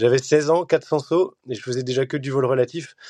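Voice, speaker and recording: A dark, mellow tone at a moderate pace, dry and close with no echo, against a quiet background. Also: man. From Belgium. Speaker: champion skydiver. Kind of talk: interview. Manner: hesitant with fillers.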